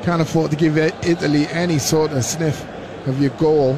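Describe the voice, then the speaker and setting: Relaxed in tone, a man with a fairly high voice talks at a moderate pace amid noticeable background noise. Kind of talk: live match co-commentary, expert analysis over the play. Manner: conversational and relaxed, with a measured, pundit-like tone.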